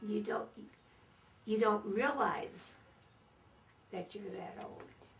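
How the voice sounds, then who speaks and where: A woman's fairly high, somewhat breathy voice, with fairly even intonation and a very slow pace. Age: 80s+. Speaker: elderly interviewee. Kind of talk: interview.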